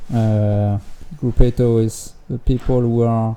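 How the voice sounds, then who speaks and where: Speaking at a very slow pace, a man has a dark, mellow tone at a medium pitch. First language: French. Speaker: gliding commentator. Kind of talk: live commentary. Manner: halting, many fillers.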